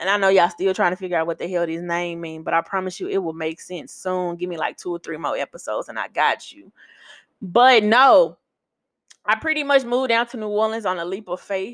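Over a quiet background, a woman with an American accent talks at a fairly quick pace and medium pitch. Her intonation is lively and her loudness swings widely. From US South, Memphis, Tennessee. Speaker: podcast host. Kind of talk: casual monologue. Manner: animated.

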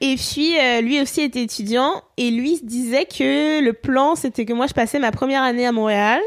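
A woman speaks at a high pitch and a moderate pace, with hardly any pauses. Her pitch varies in an ordinary way, and her loudness stays very even. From France. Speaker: podcast guest. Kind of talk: casual chat.

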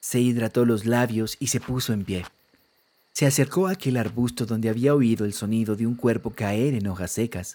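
In a very clean recording with a silent background, a man with a medium pitch and a dark, mellow tone speaks at a moderate pace with ordinary pitch variation. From Colombia. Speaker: music producer and podcaster. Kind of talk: storytelling narration. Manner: altered narration voice.

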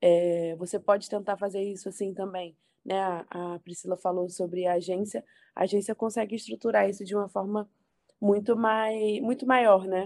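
A woman at a moderate pace and medium pitch, with an ordinary speaking voice and fairly even intonation. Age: 20s. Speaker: political communications professional. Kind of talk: podcast interview.

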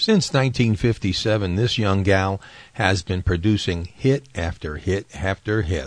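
A man's voice in a warm, upbeat tone, at a very slow pace with ordinary pitch variation. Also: fairly low pitch for a man. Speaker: radio host. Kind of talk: 1960 radio dj patter, retro countdown show. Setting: radio show. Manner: warm, upbeat, chatty disc jockey delivery, friendly ad-libs between records.

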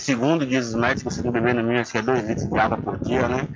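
Monotone, flat intonation from a man at medium pitch, with audible room echo and noticeable background noise. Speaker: municipal public works official. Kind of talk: radio interview.

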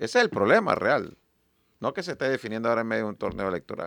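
On a very clean recording with a silent background and a dry, close sound with no echo, a man speaks at a very fast pace. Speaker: party leader and presidential hopeful. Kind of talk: radio interview.

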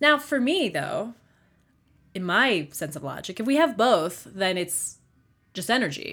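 A woman's bright, sharp tone in an American accent, medium in pitch with very wide pitch swings, at a fairly slow pace with long, frequent pauses, on a very clean recording with a silent background. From US, Baltimore. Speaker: podcast host. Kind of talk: solo monologue podcast. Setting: home studio.

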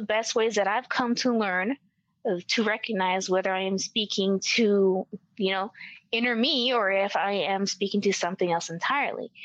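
Speaking in a Spanish accent, a woman uses ordinary pitch variation. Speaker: occult researcher. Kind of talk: interview conversation.

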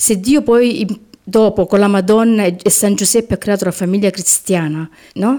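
A woman speaks at a moderate pace with ordinary pitch variation. Her tone is dark and mellow, and her loudness stays very even. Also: medium pitch for a woman. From Apulia, Lecce province. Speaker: interviewee recounting exorcism. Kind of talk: testimony. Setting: remote call.

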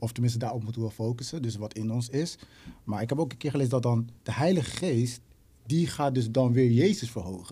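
A man talks at a fairly quick pace in a medium pitch, with ordinary pitch variation. His tone is dark and mellow, and somewhat breathy. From Netherlands, Rotterdam. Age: 20s. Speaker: musician and songwriter. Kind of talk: casual chat.

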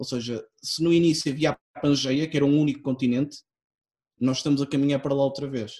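With a plain, everyday voice, a man speaks at a fairly high pitch and with fairly even intonation. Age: 20s. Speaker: podcast guest. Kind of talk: casual chat. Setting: online recording.

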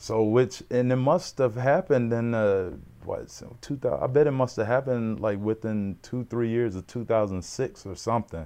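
A man with a Mississippi accent and a dark, mellow tone, at a moderate pace, with big swings in loudness over a quiet background. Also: medium pitch for a man, ordinary pitch variation, hardly any pauses. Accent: Southern US (Mississippi). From US South, Mississippi. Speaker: former pro football player. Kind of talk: casual chat.

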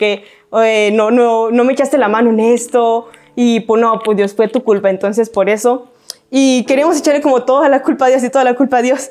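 Noticeable background noise surrounds a woman with a high pitch. She talks at a fairly quick pace with ordinary pitch variation. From Mexico, Guadalajara. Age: 20s. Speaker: youth preacher, church staff. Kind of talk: sermon. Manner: casual, conversational.

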